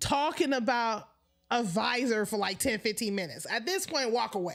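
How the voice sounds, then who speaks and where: In a very clean recording with a silent background, a woman talks at a moderate pace. Her tone is animated and excited, with lively intonation. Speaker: sports commentary livestreamer. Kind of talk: casual livestream chat. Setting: livestream at home. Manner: animated, excited.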